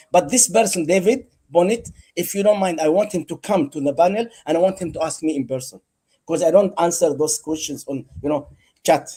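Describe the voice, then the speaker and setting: Here a man talks at a fairly quick pace with ordinary pitch variation. His high-pitched voice has a dark, mellow tone. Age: 60s. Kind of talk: heated debate. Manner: animated.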